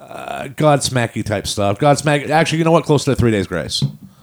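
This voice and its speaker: The speaker's voice carries vocal fry, moving at a fairly quick pace with lively intonation. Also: man. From New Hampshire, Manchester. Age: 50. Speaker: rock band singer and drummer. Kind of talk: casual chat.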